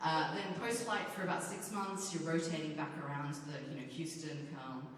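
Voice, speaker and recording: A woman with an Australian accent and a very deep, low pitch, moderate in pace, amid noticeable background noise and audible room echo. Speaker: space agency operations engineer. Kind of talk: convention panel talk. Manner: casual, many fillers.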